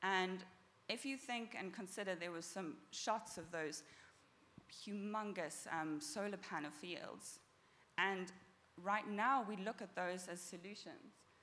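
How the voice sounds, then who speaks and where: A woman's bright, sharp, medium-pitched voice with a South African accent, fairly slow with long, frequent pauses and ordinary pitch variation, amid audible room echo. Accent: South African, noticeable. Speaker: startup founder and engineer. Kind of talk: conference talk. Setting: stage with audience.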